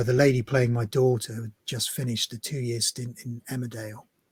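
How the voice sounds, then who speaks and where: A man with a West Country accent speaks at medium pitch, somewhat breathy and monotone, with flat intonation. The sound is dry and close, with no echo. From Devon, England. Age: 50s. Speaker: actor. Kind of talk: interview answer.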